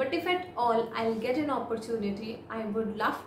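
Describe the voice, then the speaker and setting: There is audible room echo and light background noise as a woman with an Indian accent speaks at a fairly high pitch. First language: Hindi. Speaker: IELTS speaking tutor. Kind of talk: model exam answers, tutorial. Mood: calm, friendly. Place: home room.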